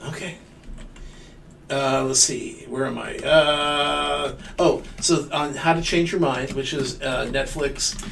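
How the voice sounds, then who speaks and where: Speech comes at a very slow pace over noticeable background noise, with audible room echo. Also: man. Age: 60s. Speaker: podcast host. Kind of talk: casual chat. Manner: halting.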